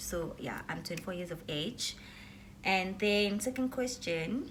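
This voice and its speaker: Amid noticeable background noise and audible room echo, a woman speaks fairly slowly in a fairly low pitch. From South Africa. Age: 20s. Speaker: YouTuber. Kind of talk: casual vlog Q&A.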